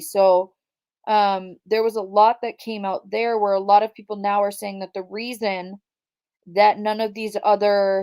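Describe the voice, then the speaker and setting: In a Minnesotan accent, a woman speaks at medium pitch. Her pace is moderate. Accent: Minnesota. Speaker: true crime YouTuber. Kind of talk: livestream commentary. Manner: casual, chatty.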